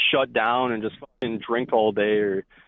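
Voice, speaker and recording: A man talks at a medium pitch. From Canada. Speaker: caller. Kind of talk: casual chat. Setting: phone call.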